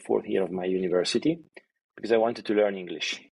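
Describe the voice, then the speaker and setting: A fairly low male voice with an Italian accent and ordinary pitch variation. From Italy, Milan area. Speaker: e-commerce executive. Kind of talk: interview. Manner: halting, many fillers and repetitions.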